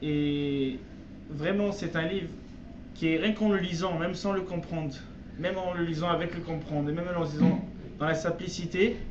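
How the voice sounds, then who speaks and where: Amid noticeable background noise and audible room echo, a man with a high pitch speaks at a moderate pace with fairly even intonation and long, frequent pauses. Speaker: religious teacher. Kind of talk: religious text lesson. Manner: halting.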